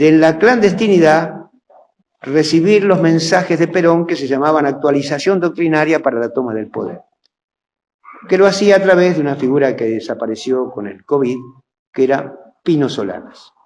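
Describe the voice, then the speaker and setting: Long, frequent pauses break up a man's speech, his pitch fairly high and his intonation lively. Audible room echo surrounds the voice. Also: moderate pace. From Argentina, provinces (railway town). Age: 70s. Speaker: historian and lecturer. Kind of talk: lecture.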